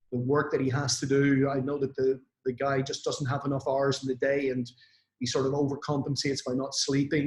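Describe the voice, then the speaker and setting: Somewhat breathy and fairly high-pitched, the man speaks fairly quickly in a flat, monotone way. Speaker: network marketing influencer. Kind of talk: motivational talk on online event. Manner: hesitant with fillers.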